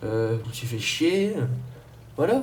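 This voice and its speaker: Audible room echo follows a man whose medium-pitched voice has lively intonation. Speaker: YouTuber. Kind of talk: rant to camera. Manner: fast; halting.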